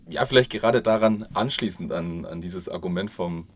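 A man speaking at a moderate pace. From Bavaria, south of Munich. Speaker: corporate social responsibility manager. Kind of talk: podcast interview. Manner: hesitant with many fillers.

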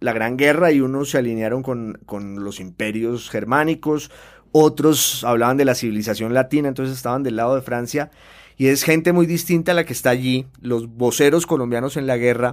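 A silent background on a very clean recording, with ordinary pitch variation and a moderate pace. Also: man. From Colombia, Popayán. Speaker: novelist and newspaper columnist. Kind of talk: interview. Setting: studio. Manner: hesitant with fillers and repetitions.

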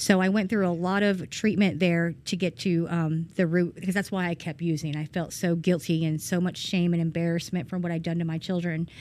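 In a very clean recording with a silent background, a woman with a Georgia accent speaks at a fairly low pitch in a monotone, flat intonation, with hardly any pauses. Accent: Southern American (Georgia). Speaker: person in addiction recovery. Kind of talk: testimony. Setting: church. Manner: hesitant, many ums.

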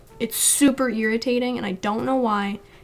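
Over noticeable background noise, the speech moves at a fairly quick pace with a monotone, flat intonation. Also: woman. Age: 20s. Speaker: digital artist and streamer. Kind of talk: casual chat.

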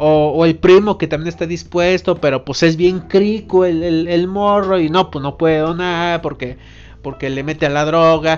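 With a central Mexican accent, a man speaks at a high pitch and moderate pace with fairly even intonation against a quiet background. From Mexico, Irapuato, Guanajuato. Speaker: podcast host. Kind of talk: casual monologue. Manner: halting, many repetitions.

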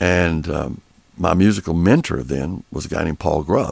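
With vocal fry in his voice, this man talks at a very deep, low pitch. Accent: East Texas. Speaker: recording studio owner and producer. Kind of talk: interview. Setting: studio.

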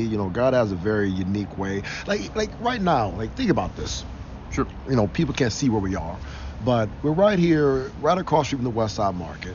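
Someone speaks at a fairly quick pace with an American accent over noticeable background noise. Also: man. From Cleveland, Ohio. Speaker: football coach and former NFL lineman. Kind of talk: interview.

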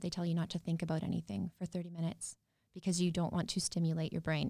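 A woman talks at a very fast pace with a Canadian Prairie accent. Her fairly low voice has a dark, mellow tone. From rural Saskatchewan, near Yorkton. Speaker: entrepreneur and cancer survivor. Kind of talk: interview.

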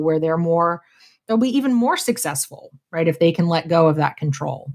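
A woman with an American accent and a plain, everyday voice talks at a fairly quick pace in a very clean recording with a silent background. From Pittsburgh, Pennsylvania. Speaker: HR consultant and coach. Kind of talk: podcast interview.

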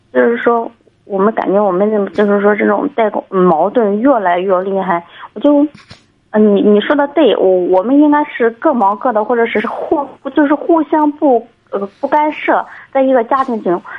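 Lively intonation marks a woman's voice. She talks at a moderate pace, her pitch fairly high. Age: 30s. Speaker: caller, doctor. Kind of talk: call-in advice conversation. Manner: halting, many fillers.

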